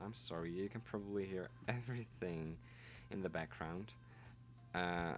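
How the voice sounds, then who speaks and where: Over music in the background, a man with a Dutch accent speaks in a very deep, low voice at a moderate pace, with lively intonation and long, frequent pauses. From Netherlands. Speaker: gaming YouTuber. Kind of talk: gameplay voiceover. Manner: casual, halting.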